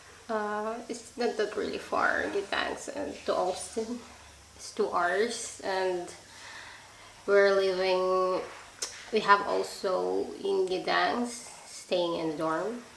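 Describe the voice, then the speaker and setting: With a Filipino accent, a woman speaks at a very slow pace and medium pitch with fairly even intonation, amid noticeable background noise and audible room echo. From Philippines, Visayas. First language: Bisaya. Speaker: nursing student. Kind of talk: live stream chat. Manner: halting.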